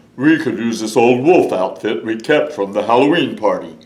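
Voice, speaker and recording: A man in a put-on character voice, medium in pitch, at a moderate pace. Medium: read story.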